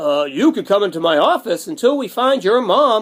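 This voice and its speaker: In a put-on character voice, a man speaks at a moderate pace with a high pitch and very wide pitch swings. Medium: read story. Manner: gentle, reassuring.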